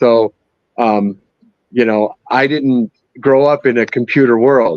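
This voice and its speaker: A man speaks at a very slow pace in a dry, close sound with no echo. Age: 60s. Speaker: 3D printer user. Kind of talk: live stream interview. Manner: hesitant, many fillers.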